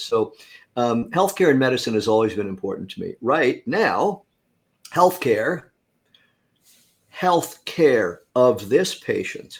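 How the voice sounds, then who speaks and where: A man with an American accent speaks at a medium pitch and a fairly slow pace. His pitch swings very widely. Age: 60s. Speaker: inventor and former psychotherapist. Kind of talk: interview.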